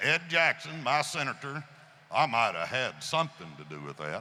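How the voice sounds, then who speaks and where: With a West Tennessee accent, a man speaks at a moderate pace and a fairly high pitch. His voice makes very wide pitch swings over noticeable background noise. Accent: Southern US (West Tennessee). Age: 70s. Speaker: gun rights advocate. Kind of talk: speech to audience. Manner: animated.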